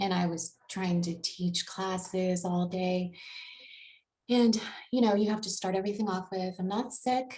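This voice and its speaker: The voice is quiet and breathy. It moves at a fairly slow pace with fairly even intonation. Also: woman, medium pitch for a woman. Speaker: person with a vocal disorder. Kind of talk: interview. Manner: halting.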